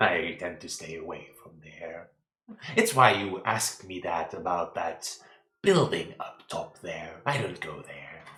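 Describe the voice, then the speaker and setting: Put-on character voice from a man, very deep and low in pitch, at a fairly slow pace with ordinary pitch variation. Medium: actual play. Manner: slow, ponderous, humming "hmm".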